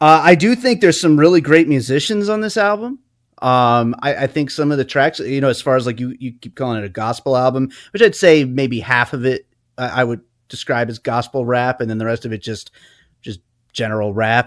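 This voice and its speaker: Against a quiet background, a man of medium pitch talks at a fairly quick pace with lively intonation. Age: 30s. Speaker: podcast co-host and musician. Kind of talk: casual chat. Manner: halting.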